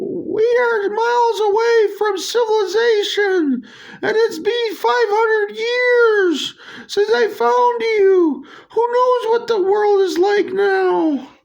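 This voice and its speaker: In a put-on, squeaky character voice, a man speaks at a very slow pace with an extremely high pitch. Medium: solo performance.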